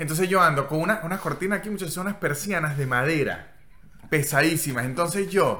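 A man talks at a very fast pace. His pitch is high, with ordinary pitch variation. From Venezuela. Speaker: comedian. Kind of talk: casual chat. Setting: hotel room.

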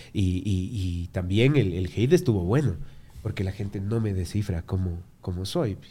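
Music plays in the background. A man with a fairly low pitch speaks at a moderate pace, with ordinary pitch variation. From Ecuador. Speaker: tattoo artist. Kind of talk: casual chat. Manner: animated.

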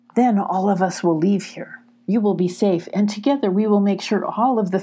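Intonation stays fairly even as the speaker reads in a natural voice.

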